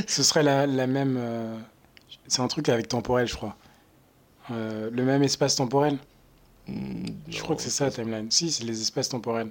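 At a moderate pace with long, frequent pauses, a man speaks at medium pitch with fairly even intonation. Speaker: marketing intern, student. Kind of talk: casual chat. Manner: halting.

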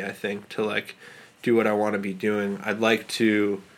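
Here is a man with an American accent. He talks at a fairly slow pace with a fairly low pitch. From New York City, Manhattan. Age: 30s. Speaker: independent filmmaker. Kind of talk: casual interview. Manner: halting, many fillers.

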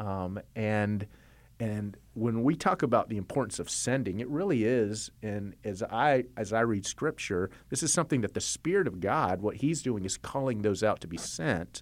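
This man has an unremarkable speaking voice, fairly low in pitch, moving at a moderate pace with lively intonation on a very clean recording with a silent background. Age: 40s. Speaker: church network director. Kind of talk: interview.

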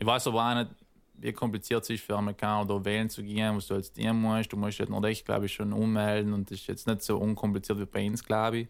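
A man with a fairly low pitch talks very fast in a monotone, flat intonation. The recording is very clean with a silent background. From South Tyrol. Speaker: rapper. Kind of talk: casual chat.

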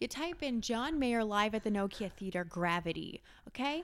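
At a moderate pace, the voice swings very widely in pitch, captured in a very clean recording with a silent background. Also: woman. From France. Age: 20s. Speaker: social media manager. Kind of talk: casual chat. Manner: animated.

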